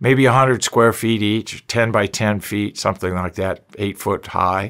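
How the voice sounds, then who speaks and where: A man's unremarkable speaking voice, fairly low in pitch, with fairly even intonation at a fairly slow pace, against a quiet background. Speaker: presenter. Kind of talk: educational talk to camera.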